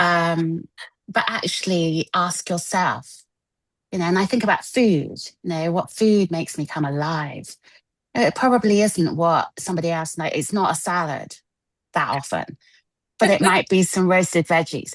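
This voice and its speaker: A woman with an English accent speaks at a fairly low pitch. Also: ordinary pitch variation, moderate pace. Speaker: wellness coach. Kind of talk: spiritual group discussion.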